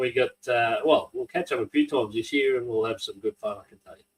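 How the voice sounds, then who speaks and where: Somewhat breathy, a man talks at a fairly quick pace. His intonation stays fairly even. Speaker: podcast host and drag racing announcer. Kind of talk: casual interview.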